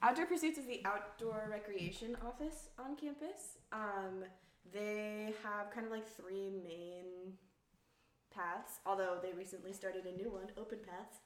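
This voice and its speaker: Her medium-pitched voice moves with lively intonation at a fairly slow pace, and audible room echo surrounds the woman. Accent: American. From Colorado, Fort Collins. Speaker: university alumnus, outdoor nonprofit youth worker. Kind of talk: casual chat.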